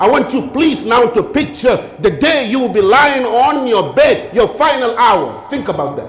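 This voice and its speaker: Solemn in tone yet lively in intonation, a man with an extremely high pitch speaks with hardly any pauses over noticeable background noise. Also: moderate pace. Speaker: Islamic lecturer. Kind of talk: Islamic sermon / lecture on death. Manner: earnest, solemn, rhetorical.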